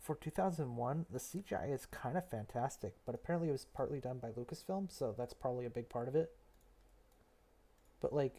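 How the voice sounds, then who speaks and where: A man speaks quietly in a medium pitch with a dark, mellow tone and a somewhat breathy quality. His pitch variation is ordinary and his pace moderate. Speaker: streamer. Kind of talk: casual chat. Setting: live stream, late at night. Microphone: headset mic, picks up voice quietly.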